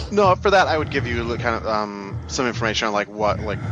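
Over music in the background, a man talks at a fairly quick pace with a medium-pitched voice. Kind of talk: tabletop game master narrating a horror campaign. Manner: vivid, descriptive scene-setting, conversational with casual filler words.

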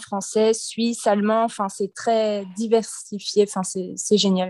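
Against a quiet background, a medium-pitched woman with a dark, mellow tone speaks in monotone, flat intonation. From western France (Nantes). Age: 20s. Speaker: expatriate, former preschool worker. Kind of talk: casual interview.

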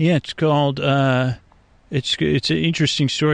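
Delivered at a moderate pace, this is an ordinary speaking voice whose pitch variation is ordinary. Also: man. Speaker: podcast host, bedtime storyteller. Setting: outdoors at night near a swamp. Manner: rambling, meandering.

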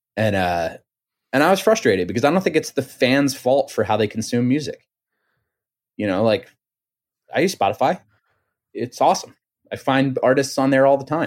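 Speaking at medium pitch with lively intonation, a man keeps a moderate pace broken by long, frequent pauses. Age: 30s. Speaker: musician. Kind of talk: casual chat.

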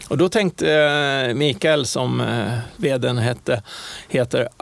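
At a very slow pace, a man speaks in a medium pitch with lively intonation. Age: 60s. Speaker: airline pilot. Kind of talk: interview. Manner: halting.

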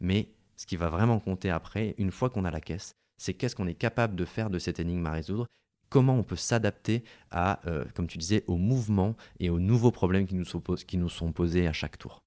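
A man with a very deep, low voice and a dark, mellow tone speaks at a fairly quick pace with ordinary pitch variation. The recording is very clean and dry, with a silent background and no echo. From France, Hautes-Alpes (born in Lille). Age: 30s. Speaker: sports journalist. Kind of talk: interview. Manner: halting.

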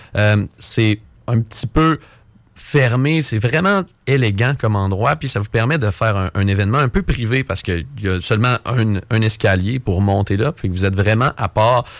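Here a man has an ordinary speaking voice at a fairly low pitch and moderate pace, with ordinary pitch variation. The recording is very clean with a silent background and a dry, close sound with no echo. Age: 20s. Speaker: game pub supervisor. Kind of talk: radio interview, casual.

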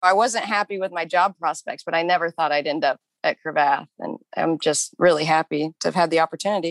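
Fairly low in pitch, a woman with a plain, everyday voice speaks at a fairly quick pace with hardly any pauses and fairly even intonation, in a dry, close sound with no echo. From Kansas. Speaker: yoga instructor and former tax lawyer. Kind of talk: interview.

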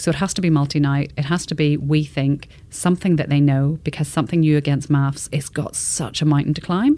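A woman with an Irish accent, very deep and low in pitch, with a dark, mellow tone, fairly even intonation and a fairly quick pace. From Northern Ireland. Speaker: television executive. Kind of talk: interview.

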